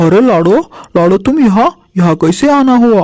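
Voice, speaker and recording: Using a cartoonish character voice, a man speaks high in pitch at a fairly slow pace. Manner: sly.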